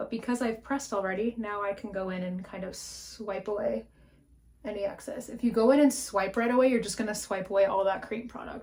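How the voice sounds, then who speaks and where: A woman's fairly high, somewhat breathy voice with a Canadian accent, a dark, mellow tone and ordinary pitch variation. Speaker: beauty vlogger. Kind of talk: makeup tutorial chat. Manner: casual, chatty.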